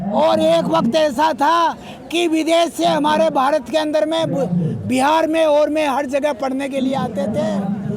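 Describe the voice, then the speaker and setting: With crowd noise behind him, a man speaks at an extremely high pitch with ordinary pitch variation. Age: 60s. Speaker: holy man interviewed at protest. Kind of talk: street interview. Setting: outdoors at a protest.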